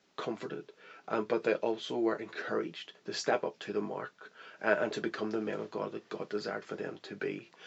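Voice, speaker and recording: A man speaks with a Northern Irish accent. His pace is fairly quick. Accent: Northern Irish (Belfast). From Northern Ireland, Belfast. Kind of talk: interview testimony. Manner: hesitant, many fillers.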